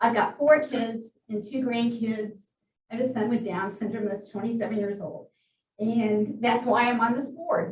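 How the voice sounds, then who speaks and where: This woman has an ordinary speaking voice, a fairly high pitch and a moderate pace. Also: fairly even intonation. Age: 60s. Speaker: board chair. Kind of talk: board meeting.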